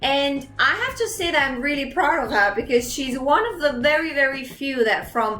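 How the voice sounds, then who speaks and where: A woman's high voice is raised and projected, with ordinary pitch variation, against noticeable background noise. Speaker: interviewer. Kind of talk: casual interview talk.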